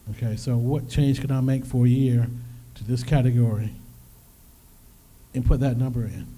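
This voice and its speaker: A man at medium pitch, somewhat breathy, with a dark, mellow tone, monotone, flat intonation, a moderate pace, long, frequent pauses, and audible room echo. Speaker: financial workshop presenter. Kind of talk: workshop presentation.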